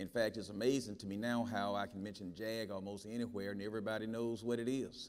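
In a Southern US accent, a man talks at a very fast pace with hardly any pauses. His fairly low-pitched delivery is monotone and flat. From Mississippi. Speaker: federal judge. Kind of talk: panel discussion. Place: stage.

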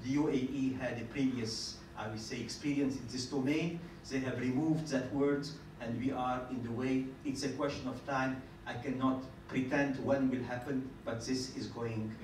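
A man speaks at a moderate pace with few pauses and fairly even intonation. His pitch is medium, and there is audible room echo.

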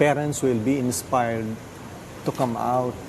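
Fairly slow speech with fairly even intonation comes through audible room echo over noticeable background noise. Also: man. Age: 60s. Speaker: artist and art program founder. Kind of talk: TV interview. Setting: studio.

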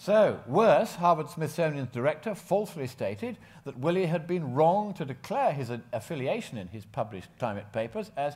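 A man with vocal fry talks at a moderate pace, with very wide pitch swings and big swings in loudness. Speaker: conference presenter. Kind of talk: conference talk. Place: hall.

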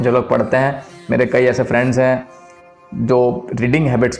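Faint background music behind a man's flat, monotone voice. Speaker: vlogger. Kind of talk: casual vlog chat. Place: home room. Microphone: lapel.

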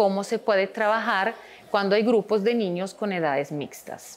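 This is a woman's voice. She uses ordinary pitch variation. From Switzerland. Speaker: preschool teacher. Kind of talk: school testimonial video; interview answer. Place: classroom.

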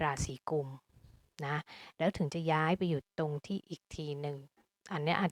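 A woman speaks at a very deep, low pitch with fairly even intonation. The sound is dry and close with no echo, on a very clean recording with a silent background. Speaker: astrologer. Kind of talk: astrology forecast monologue.

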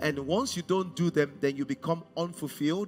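Light background noise sits behind a man who speaks at a moderate pace with ordinary pitch variation. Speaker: pastor. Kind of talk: sermon. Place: stage. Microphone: headset.

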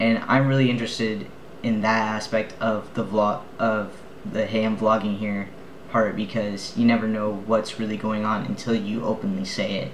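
A man talks at a moderate pace in a fairly low pitch. His intonation is flat and monotone, with light background noise. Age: 20s. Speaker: vlogger and film student; vlogger. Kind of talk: video blog. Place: home room. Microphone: webcam.

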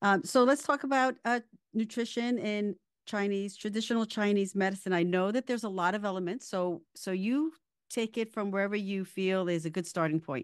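A woman with a plain, everyday voice talks at a medium pitch and a fairly quick pace with ordinary pitch variation over a quiet background. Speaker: wellness podcast host and qigong teacher. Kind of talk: interview.

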